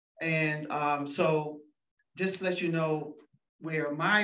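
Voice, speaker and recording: With audible room echo, a woman speaks in a very deep, low pitch with ordinary pitch variation. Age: 70s. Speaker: educational consultant. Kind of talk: conference talk. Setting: room with audience.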